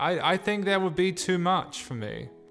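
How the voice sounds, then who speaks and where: A man's voice at a moderate pace, with music playing in the background. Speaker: PC hardware youtuber. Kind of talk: casual talk to camera.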